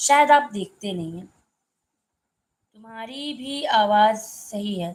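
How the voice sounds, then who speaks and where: Lively intonation and big swings in loudness are broken up by long, frequent pauses. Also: woman, fairly high pitch for a woman. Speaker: live stream co-host. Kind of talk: casual chat. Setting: live stream.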